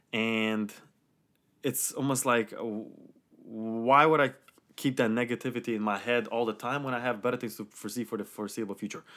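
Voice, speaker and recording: A man with an ordinary speaking voice and an American accent talks fairly quickly at a medium pitch with fairly even intonation, on a very clean recording with a silent background. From Romania, then New York and New Jersey. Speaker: podcast guest. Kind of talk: casual chat.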